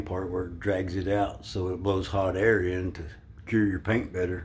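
Somewhat breathy, a man talks at a moderate pace with a very deep, low pitch. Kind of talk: casual vlog chat. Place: bathroom. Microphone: phone near.

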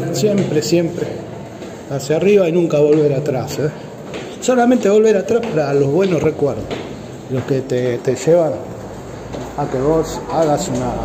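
Against noticeable background noise, a man with a fairly high pitch and lively intonation speaks at a fairly slow pace with long, frequent pauses. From Argentina. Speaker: vlogger. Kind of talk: casual walking vlog. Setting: walking through a museum. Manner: animated. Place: hall. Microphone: phone near.

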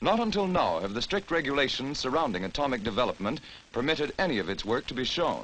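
Vocal fry marks a man's fairly high-pitched voice as he speaks at a fairly quick pace. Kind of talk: newsreel narration.

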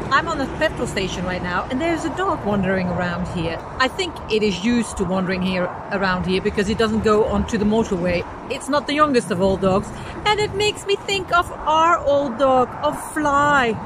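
Very wide pitch swings at a fairly quick pace, with a dry sound with no echo and noticeable background noise. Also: woman. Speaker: travel vlogger. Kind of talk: casual vlog chat. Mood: wistful, mixed sad and happy. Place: street. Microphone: phone near.

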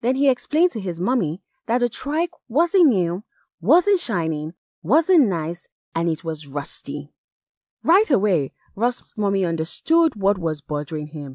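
A woman with a West African accent, a medium pitch and a dark, mellow tone speaks at a moderate pace with very wide pitch swings, in a dry, close sound with no echo on a very clean recording with a silent background. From Nigeria. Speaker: voice actor. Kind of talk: children's story reading.

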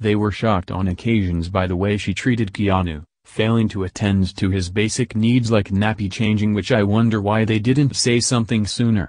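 A man with an unremarkable speaking voice talks at a moderate pace in a fairly low pitch, with hardly any pauses. His intonation is fairly even, his loudness very even, and the background is quiet. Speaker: true crime narrator. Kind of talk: true-crime narration, scripted and read out, grave, documentary style. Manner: solemn, measured, formal.

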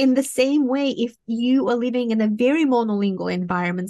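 A woman with a Romanian accent, a dark, mellow tone and ordinary pitch variation against a quiet background. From Moldova. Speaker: professor and cognitive scientist. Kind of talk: interview. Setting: remote video call. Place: home room. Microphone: studio mic.

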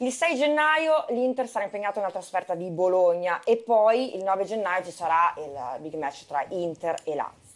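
At a moderate pace and with hardly any pauses, a woman speaks with very wide pitch swings. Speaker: TV sports show presenter. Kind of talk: TV football talk show. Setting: TV studio. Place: studio. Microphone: lapel.

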